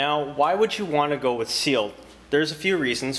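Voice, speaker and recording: A man is speaking. His pace is fairly quick. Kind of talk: product review tutorial. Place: workshop.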